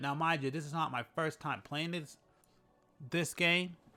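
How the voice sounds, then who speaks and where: The tone is bright and sharp, delivered at a fairly quick pace. The recording is very clean, with a silent background. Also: man. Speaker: gaming YouTuber. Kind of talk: casual commentary.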